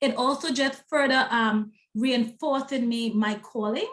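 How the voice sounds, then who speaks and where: With a strong Trinidadian accent, a woman talks at a moderate pace, her fairly high pitch held in fairly even intonation. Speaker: self-publishing consultant and book coach. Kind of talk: interview.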